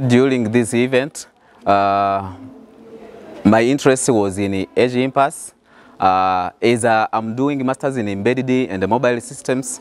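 A man with a Burundian accent at a very slow pace, ordinary pitch variation, and a dry sound with no echo. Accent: Burundian francophone English. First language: French. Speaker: graduate student. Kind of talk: interview testimonial; interview answer. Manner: halting. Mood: friendly, smiling. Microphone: lapel.

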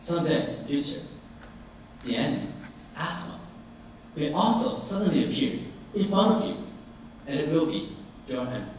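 Amid strong room echo and light background noise, a man talks at a moderate pace, leaving long, frequent pauses. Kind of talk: formal speech. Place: hall.

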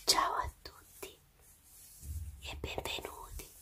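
Someone whispers at a very slow pace. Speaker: ASMR creator. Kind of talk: casual greeting to camera at the start of a video. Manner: whispered, soft-spoken.

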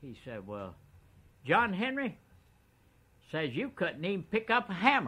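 Vocal fry runs through a man's bright, sharp tone as he speaks at a fairly slow pace with very wide pitch swings. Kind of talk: storytelling interview. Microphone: old recording.

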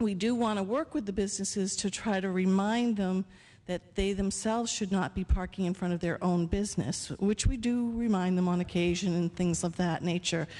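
With a dark, mellow tone, a woman speaks at a moderate pace and with fairly even intonation. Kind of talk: public comment at a meeting. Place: hall. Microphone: podium.

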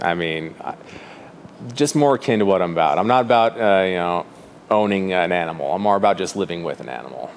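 With an American accent, a man talks at a very fast pace in a very deep, low pitch with lively intonation, over light background noise. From Fruita, western Colorado; Colorado. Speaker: artist and gallery owner. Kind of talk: interview. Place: shop.

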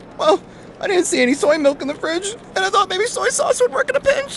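Against clear background noise, a man does a put-on character voice at an extremely high pitch and a fairly quick pace.

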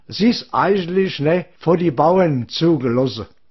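In a Hessian accent, a man with a high pitch speaks very slowly with lively intonation. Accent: Odenwald dialect. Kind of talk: comic dialect monologue giving directions. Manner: rambling, chatty.

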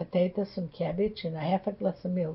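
In a Polish accent, a woman speaks at a medium pitch with a somewhat breathy voice. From Poland. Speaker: Holocaust-era survivor. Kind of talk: interview answer.

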